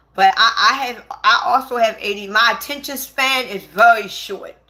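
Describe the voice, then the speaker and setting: This woman has a high-pitched voice with a bright, sharp tone. She sounds animated, with ordinary pitch variation. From Baltimore, Maryland. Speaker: livestreamer. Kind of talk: casual livestream chat.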